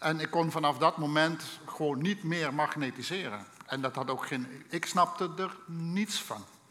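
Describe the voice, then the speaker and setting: With a slight Limburg accent, a man talks at a fairly slow pace in a fairly high voice with ordinary pitch variation. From Limburg, Netherlands. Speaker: preacher. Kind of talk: sermon.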